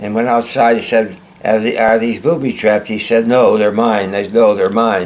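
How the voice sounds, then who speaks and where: A man with a medium pitch talks at a moderate pace with fairly even intonation. Noticeable background noise sits behind him. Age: 90s. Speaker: war veteran and author. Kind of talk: interview.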